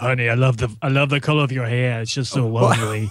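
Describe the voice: The voice is a raspy, put-on character voice at a very fast pace. Light background noise sits behind it. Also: man, medium pitch for a man.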